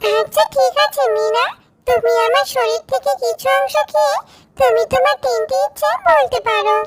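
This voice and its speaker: This is a cartoonish character voice with a fairly high pitch. The delivery comes at a fairly slow pace. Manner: calm, benevolent.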